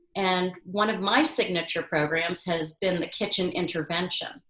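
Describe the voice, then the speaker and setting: A woman's unremarkable speaking voice, medium in pitch, at a moderate pace. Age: 60s. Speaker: culinary educator and author. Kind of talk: interview.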